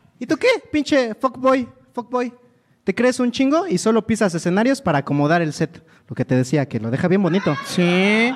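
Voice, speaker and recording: Very wide pitch swings from a man with a high voice. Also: moderate pace. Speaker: comedian co-host. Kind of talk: comedic casual chat.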